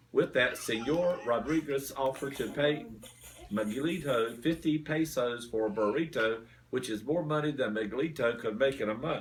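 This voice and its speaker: A man with an Eastern North Carolina accent speaks at a moderate pace and medium pitch, with ordinary pitch variation. Noticeable background noise runs behind him. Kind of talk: children's story reading. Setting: family room, others interrupting. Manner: halting, stumbling over names.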